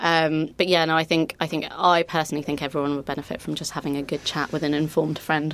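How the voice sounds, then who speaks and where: Flat, monotone delivery at a very fast pace with hardly any pauses, over noticeable background noise. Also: woman, very deep, low pitch for a woman. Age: 30s. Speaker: podcast host. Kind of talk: casual chat.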